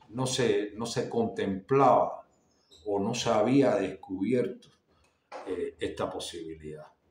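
Audible room echo hangs around this recording. A man speaks at a very slow pace. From Cuba. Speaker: artist and YouTuber; visual arts vlogger. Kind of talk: casual monologue to camera. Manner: halting, many fillers and repetitions. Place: home room. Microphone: phone near.

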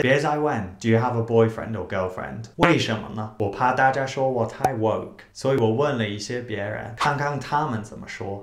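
The pitch varies in an ordinary way at a moderate pace. There are hardly any pauses, and room echo is audible. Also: man, big swings in loudness. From United Kingdom. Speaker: English teacher. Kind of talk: casual talk to camera.

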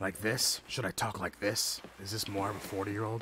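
In a put-on character voice, a man speaks at a moderate pace, raspy and gravelly, fairly low in pitch, with a monotone, flat delivery and clear background noise.

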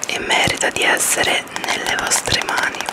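The woman keeps her voice to a whisper. She moves at a moderate pace. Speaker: ASMR creator. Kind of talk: book review to camera, ASMR style. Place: home room. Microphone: studio mic.

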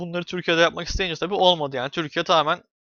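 A man's monotone, flat intonation. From Turkey. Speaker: YouTuber. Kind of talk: casual vlog monologue. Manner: hesitant with many fillers.

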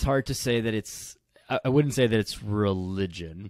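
With a quiet background and a dry sound with no echo, a man speaks at a fairly quick pace. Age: 20s. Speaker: kinesiologist and fitness coach; fitness coach. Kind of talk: casual chat. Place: home room. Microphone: studio mic.

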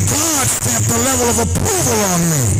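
Speech at a moderate pace with ordinary pitch variation, over loud music in the background. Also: man. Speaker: preacher. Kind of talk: sermon. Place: hall. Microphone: handheld.

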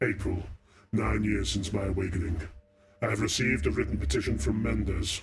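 A put-on character voice with a sinister tone, very wide pitch swings, and a fairly quick pace. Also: man. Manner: evil, sinister.

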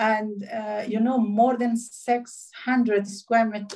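A woman's voice, somewhat breathy, comes through over a quiet background. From Afghanistan. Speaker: diplomat; webinar panelist. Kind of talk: speech. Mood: serious, concerned. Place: home room. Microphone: phone near.

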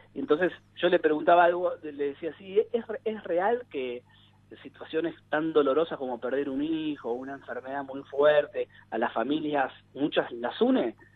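At a moderate pace and fairly high pitch, a man uses an unremarkable speaking voice with ordinary pitch variation. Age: 40s. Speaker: psychologist and family therapist. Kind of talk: radio interview.

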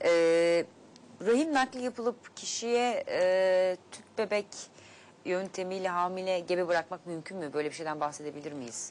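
At a fairly slow pace, the speech has lively intonation and big swings in loudness. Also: woman. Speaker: TV health show host. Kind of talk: live TV talk show. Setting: studio. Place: studio. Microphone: lapel.

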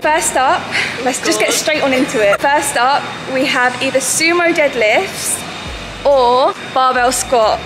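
A high-pitched woman's voice at a fairly slow pace, with ordinary pitch variation and clear music in the background. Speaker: fitness vlogger. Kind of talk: casual vlog chat. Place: gym. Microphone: phone near.

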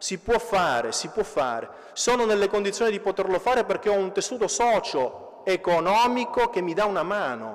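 A man with a high pitch and lively intonation, at a moderate pace, against a quiet background. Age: 30s. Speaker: municipal councillor. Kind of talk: conference speech. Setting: stage with audience. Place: church. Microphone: podium.

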